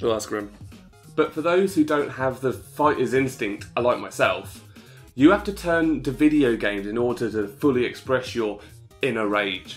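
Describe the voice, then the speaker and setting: Someone speaks at a moderate pace with lively intonation while music plays in the background. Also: man, medium pitch for a man. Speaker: gaming YouTuber. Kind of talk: comedic video game review narration.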